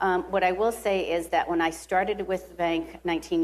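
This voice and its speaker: The speaker has a Rhode Island accent and ordinary pitch variation. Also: woman. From US Northeast (Rhode Island). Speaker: bank executive. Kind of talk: interview. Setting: live at a conference.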